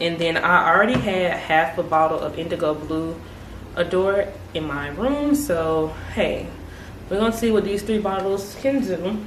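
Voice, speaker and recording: The speaker talks at a moderate pace with lively intonation. The room echo is audible, and there is noticeable background noise. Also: woman, medium pitch for a woman. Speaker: beauty YouTuber. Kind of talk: hair tutorial. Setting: at home. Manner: soft-spoken, trying to be quiet; casual, chatty.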